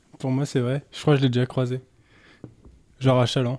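His pitch sits at medium as the man speaks in a dark, mellow tone with monotone, flat intonation. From Anjou, western France. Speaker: stand-up comedian, comedy club co-manager. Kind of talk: casual chat.

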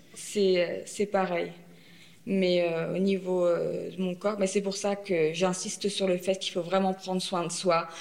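The speech is a flat monotone delivered at a very slow pace. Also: woman, medium pitch for a woman. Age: 30s. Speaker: breast cancer patient sharing her experience. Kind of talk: testimony. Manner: halting.

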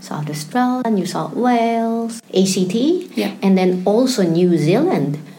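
A woman at a fairly slow pace with ordinary pitch variation, amid noticeable background noise and audible room echo. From Philippines. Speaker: PhD candidate and museologist. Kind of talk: interview.

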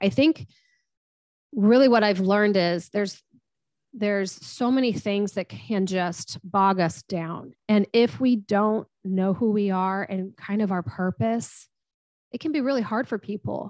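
Over a very clean recording with a silent background, a woman talks in an unremarkable speaking voice. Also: medium pitch for a woman. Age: 40s. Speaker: strengths coach and financial consultant. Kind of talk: interview.

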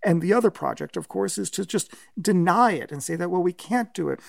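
Recorded very cleanly against a silent background, a man speaks at a fairly quick pace. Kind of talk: interview discussion.

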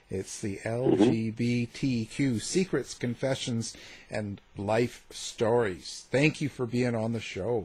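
The speaker talks at a very slow pace in a somewhat breathy voice. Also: man, medium pitch for a man, ordinary pitch variation. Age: 50s. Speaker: radio host. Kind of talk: interview. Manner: hesitant, many filler words.

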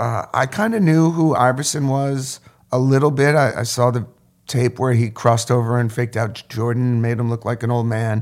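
A man with an American accent speaks in a plain, everyday voice at medium pitch, with fairly even intonation and a moderate pace, on a very clean recording with a silent background. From upstate New York (Sullivan County). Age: 50s. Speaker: photographer and professor. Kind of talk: casual interview chat. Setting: studio.

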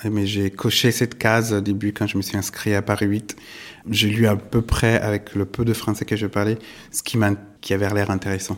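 A man with a fairly low pitch. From southern Italy. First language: Italian (speaking French). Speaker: art gallerist. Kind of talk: interview. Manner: halting, many hesitations.

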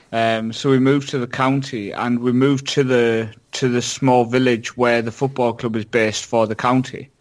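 At a moderate pace and medium pitch, a man speaks in a plain, everyday voice with fairly even intonation against a quiet background. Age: 30s. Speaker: YouTuber and football game player. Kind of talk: casual chat.

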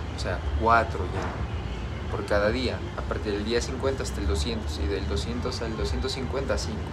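A man with a very deep, low voice speaks very slowly, with hardly any pauses. His intonation is lively, and there is noticeable background noise. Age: 20s. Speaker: podcaster and vlogger. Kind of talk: casual monologue. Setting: outdoors.

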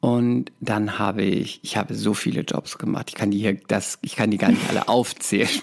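A man speaks at a moderate pace in a fairly low pitch. His is an unremarkable speaking voice. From Palatinate, Germany (Speyer). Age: 30s. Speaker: actor and talent agency owner. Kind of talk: casual interview chat.

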